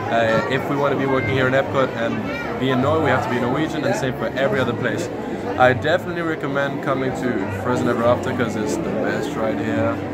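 Crowd noise fills the background as a man talks. He speaks at a very fast pace with ordinary pitch variation. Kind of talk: interview answer. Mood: friendly, upbeat. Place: hall. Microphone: phone near.

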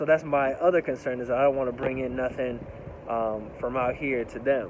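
The sound is dry, without echo. Noticeable background noise runs behind the man. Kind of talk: casual vlog chat. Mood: reflective, concerned. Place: street. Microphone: phone near.

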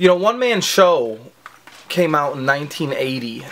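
Here a man talks at a moderate pace. His intonation is lively. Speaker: fragrance reviewer. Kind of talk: casual comedic review vlog. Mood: crude joking. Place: home room. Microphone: phone near.

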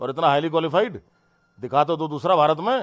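Over a quiet background, a man with a fairly high pitch talks at a moderate pace in an animated tone, his pitch varying in an ordinary way. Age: 50s. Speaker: politician. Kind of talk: heated statement to the press. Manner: animated, indignant. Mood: defensive, indignant. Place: home room. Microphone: handheld.

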